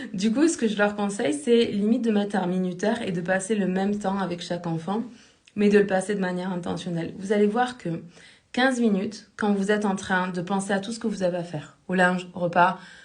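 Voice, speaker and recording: A woman speaks at a medium pitch with ordinary pitch variation and a somewhat breathy voice. Room echo is audible. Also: fairly quick pace. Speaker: life coach. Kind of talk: live stream talk. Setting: live stream. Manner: fast.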